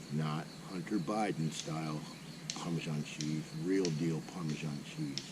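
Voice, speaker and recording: A man's very deep, low voice at a fairly slow pace, fairly even in intonation, with audible room echo. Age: 60s. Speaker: motorcycle camping vlogger; Marine veteran. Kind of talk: casual vlog talk to camera. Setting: outdoors at campsite.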